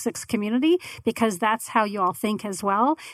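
With an American accent, a woman talks at a very fast pace. Her pitch is fairly high, with ordinary variation. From Arizona, Tempe. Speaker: podcast network owner. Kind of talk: casual interview.

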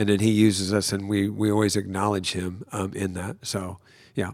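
On a very clean recording with a silent background, a man with a plain, everyday voice and fairly low pitch speaks at a fairly quick pace. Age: 60s. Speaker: pastor. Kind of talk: casual chat. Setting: studio.

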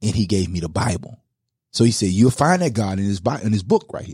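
A man talks with vocal fry and a dark, mellow tone. The recording is very clean, with a silent background. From Louisiana. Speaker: pastor and former football player. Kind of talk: casual chat. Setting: studio.

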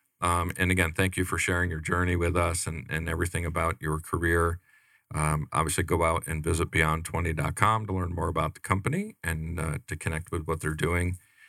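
A man with an American accent speaks in a very deep, low pitch with a bright, sharp tone and monotone, flat intonation. The recording is very clean, with a silent background. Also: fairly quick pace. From US. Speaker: radio show host. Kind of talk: casual interview chat. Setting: radio studio.

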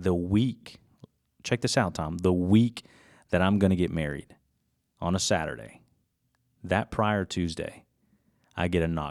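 Very deep and low, a man's voice shows ordinary pitch variation and long, frequent pauses on a very clean recording with a silent background. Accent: American. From US South, Georgia (Gainesville). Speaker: insurance agent. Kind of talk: casual chat. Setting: studio.

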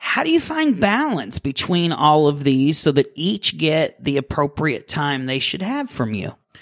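A man with a fairly high pitch and an unremarkable speaking voice talks at a fairly slow pace with lively intonation and hardly any pauses. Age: 40s. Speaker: radio host. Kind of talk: radio interview. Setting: studio.

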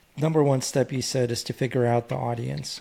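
A man with a normal speaking voice, medium in pitch, at a fairly quick pace. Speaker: podcast co-host, business owner. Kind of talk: podcast interview.

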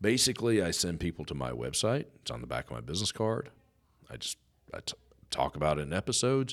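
At a very fast pace, a man with a very deep, low pitch and vocal fry makes very wide pitch swings. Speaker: business radio host. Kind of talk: radio interview. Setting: studio. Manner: over-enunciates.

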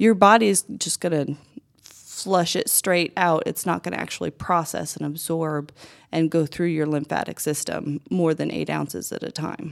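Moderate speed, ordinary pitch variation, and an ordinary speaking voice. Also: woman, fairly low pitch for a woman. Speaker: massage therapist and business owner. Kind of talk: studio interview. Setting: studio.

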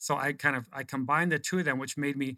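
This man has a fairly high pitch and a bright, sharp tone, speaking with an American accent. His pitch varies in an ordinary way, and the recording is very clean with a silent background. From Oregon. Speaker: marketing consultant. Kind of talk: casual chat. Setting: studio.

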